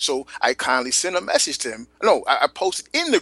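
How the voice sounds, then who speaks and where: A man's speech comes at a moderate pace, the sound dry and close with no echo. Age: 30s. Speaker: hip-hop podcast co-host. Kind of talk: casual chat.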